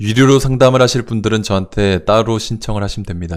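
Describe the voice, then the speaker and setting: This man talks at a very fast pace with a fairly low pitch and ordinary pitch variation. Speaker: real estate investment livestream host. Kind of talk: live stream Q&A with chat.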